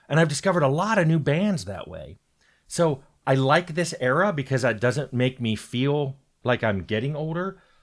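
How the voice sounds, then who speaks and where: It is a normal speaking voice: a man, fairly high in pitch, with lively intonation at a moderate pace. The recording is very clean, with a silent background. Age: 60s. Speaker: game developer. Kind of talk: casual talk to camera. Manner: conversational, with frequent fillers and restarts.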